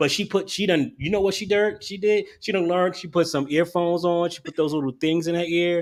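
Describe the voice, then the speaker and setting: A loud man's voice, high-pitched, at a fairly quick pace. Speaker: podcaster. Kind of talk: casual chat. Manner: animated.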